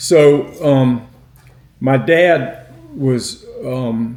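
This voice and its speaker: In an American accent, a man speaks at a medium pitch, somewhat breathy, with a dark, mellow tone. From northeast Florida, Fernandina. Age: 80s+. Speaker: oral history interviewee. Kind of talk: oral history interview. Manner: halting, with many fillers.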